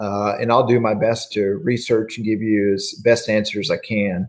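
Using a normal speaking voice, a man talks at medium pitch and a moderate pace. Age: 50s. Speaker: church minister leading Bible study. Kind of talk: livestreamed Bible class devotional.

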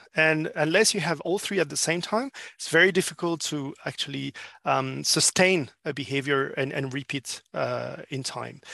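A man at a moderate pace over a quiet background. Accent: French. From France. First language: French. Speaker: business consultant. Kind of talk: interview. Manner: halting.

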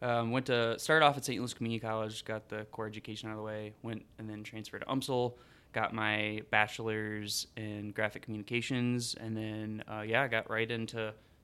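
With a bright, sharp tone, a man with an American accent speaks at medium pitch and moderate pace in a flat monotone, captured in a very clean recording with a silent background. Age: 30s. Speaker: graphic designer and fitness enthusiast. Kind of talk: casual chat.

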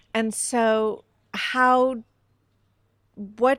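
In a very clean recording with a silent background and a dry, close sound with no echo, a woman with an American accent speaks at a fairly high pitch. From Northern California. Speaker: filmmaker and writer. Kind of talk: casual chat. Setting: studio.

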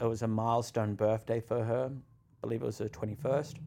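A man with a New Zealand accent at a moderate pace, on a very clean recording with a silent background. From New Zealand, Auckland. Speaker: content creator. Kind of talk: podcast interview, personal story.

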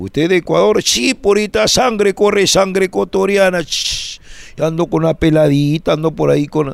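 A man talks at a moderate pace in a high, animated voice with lively intonation. Noticeable background noise sits behind him. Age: 60s. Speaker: comedian. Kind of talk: casual chat.

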